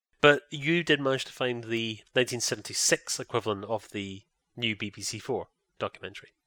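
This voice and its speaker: A man with a British accent at medium pitch and a fairly quick pace, bright, sharp tone, ordinary pitch variation and big swings in loudness, in a very clean, dry, close recording with no echo and a silent background. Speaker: podcast host. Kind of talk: casual chat podcast.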